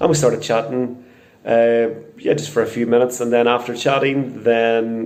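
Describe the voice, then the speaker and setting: In a Northern Irish accent, a man talks at a fairly quick pace with medium pitch. His intonation is fairly even, and audible room echo surrounds the voice. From Northern Ireland, Portadown. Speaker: crime victim interviewee. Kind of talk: testimony.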